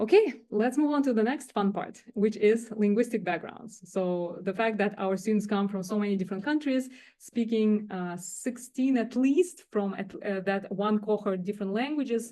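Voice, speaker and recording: A woman with a fairly high pitch talks at a moderate pace. Her tone is dark and mellow. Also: ordinary pitch variation. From Russia or Kazakhstan. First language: not English. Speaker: director of teaching and learning center. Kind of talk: faculty workshop presentation. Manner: halting, many fillers.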